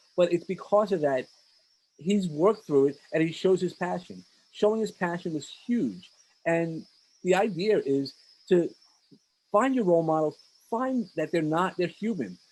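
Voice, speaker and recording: With a New York accent, a man speaks at a high pitch and a moderate pace. His pitch variation is ordinary, and he takes long, frequent pauses. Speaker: podcast host and mentor. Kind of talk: interview. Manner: speeds up when enthusiastic; animated.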